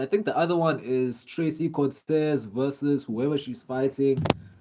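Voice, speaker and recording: A man with a South African accent speaks at a fairly high pitch. His pace is moderate, and the background is quiet. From South Africa, Durban. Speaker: live streamer, MMA fan. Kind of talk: live stream chat reading comments. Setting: live stream. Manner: casual, filler-heavy.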